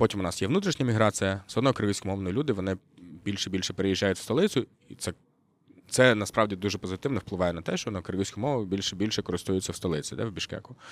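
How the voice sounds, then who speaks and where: This man talks at a very fast pace in a fairly low voice with ordinary pitch variation, on a very clean recording with a silent background. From Kyrgyzstan, Russian-speaking. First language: Russian (speaking Ukrainian). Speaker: journalist. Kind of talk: casual chat. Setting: yurt.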